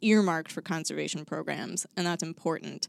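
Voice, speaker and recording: Her fairly low voice stays monotone and flat, with an American accent and a dry, close sound with no echo. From suburban Chicago. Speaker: state wildlife agency coordinator. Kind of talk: casual chat. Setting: studio.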